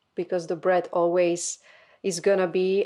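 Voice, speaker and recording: A woman with a Slovak accent speaks in a fairly low pitch with monotone, flat intonation. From Slovakia. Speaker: podcast co-host. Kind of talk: casual chat.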